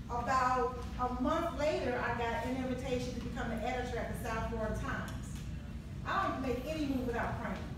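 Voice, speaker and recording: A woman speaks fairly quickly with ordinary pitch variation, amid strong room echo and noticeable background noise. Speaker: guest. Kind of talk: personal story at a community event. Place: hall.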